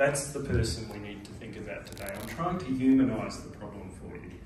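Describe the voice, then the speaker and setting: With audible room echo and noticeable background noise, a man speaks at medium pitch and a moderate pace, his intonation lively. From Australia. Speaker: surgeon and alliance president. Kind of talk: conference speech. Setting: conference side event.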